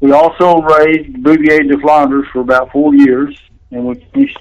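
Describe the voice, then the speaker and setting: A man with a Texan accent and a monotone, flat delivery. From central Texas. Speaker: bulldog breeder. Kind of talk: interview. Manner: halting.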